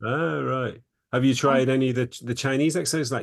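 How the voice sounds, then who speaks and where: A man with an English accent speaks over a quiet background. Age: 50s. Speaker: psychologist and author. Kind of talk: interview.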